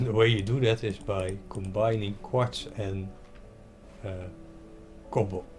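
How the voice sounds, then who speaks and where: A man with a fairly low pitch at a fairly slow pace, fairly even in intonation, with long, frequent pauses and noticeable background noise. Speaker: gaming video creator. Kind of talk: gameplay commentary. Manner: halting.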